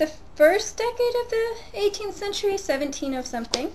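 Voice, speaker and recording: A woman with lively intonation over noticeable background noise. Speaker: book blogger. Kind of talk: casual vlog, showing library books. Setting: home, webcam recording. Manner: fast.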